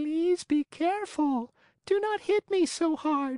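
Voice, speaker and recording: It's a squeaky, high-pitched put-on character voice. The pace is fairly slow. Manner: pleading, beseeching.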